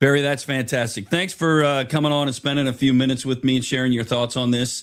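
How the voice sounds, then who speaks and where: Speaking very fast in an American accent, a man keeps a medium pitch, fairly even intonation and very even loudness. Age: 60s. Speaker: sports podcast host. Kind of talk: interview. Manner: halting.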